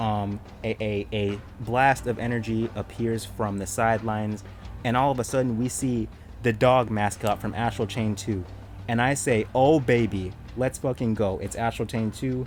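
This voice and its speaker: Moderate-paced speech with music in the background. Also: man, medium pitch for a man. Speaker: gaming youtuber. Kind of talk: casual video commentary. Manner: animated.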